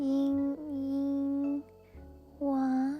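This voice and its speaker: With music in the background, a soft-spoken woman talks in a high voice. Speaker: vtuber and ASMR creator. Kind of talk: casual live-stream talk.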